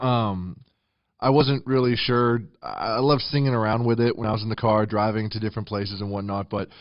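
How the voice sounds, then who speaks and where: A man with an American accent speaks in a normal speaking voice at a medium pitch, at a fairly quick pace with fairly even intonation. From Texas, Houston. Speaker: country singer. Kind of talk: interview. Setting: studio.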